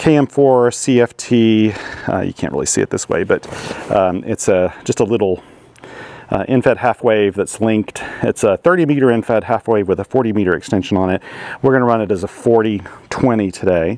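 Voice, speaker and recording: Here a man talks at a moderate pace with ordinary pitch variation. The sound is dry, with no echo. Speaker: amateur radio operator. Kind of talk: casual vlog chat. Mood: relaxed, chatty. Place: open country. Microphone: lapel.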